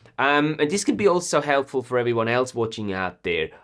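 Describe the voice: A man speaks with a fairly bright tone and big pitch swings.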